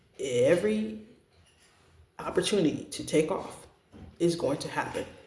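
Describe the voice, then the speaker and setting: Fairly slow speech from a man, room echo audible around it. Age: 30s. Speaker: parent vlogger sharing family experience. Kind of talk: personal testimony to camera. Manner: hesitant, with frequent fillers.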